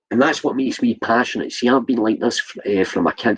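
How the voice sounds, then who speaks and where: In a Scottish accent, a man speaks at a fairly quick pace. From Scotland. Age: 60s. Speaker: vlogger. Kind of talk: livestream rant. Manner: animated; halting.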